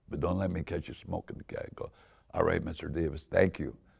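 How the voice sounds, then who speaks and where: A very deep, low-pitched man's voice in a Southern California accent at a fairly quick pace. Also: quiet background. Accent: Southern California, LA Harbor area. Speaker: car club founder. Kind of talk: storytelling. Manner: animated.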